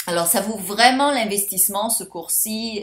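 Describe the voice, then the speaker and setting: Her pitch is medium. The voice belongs to a woman. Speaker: life coach and course seller. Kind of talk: sales pitch. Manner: animated.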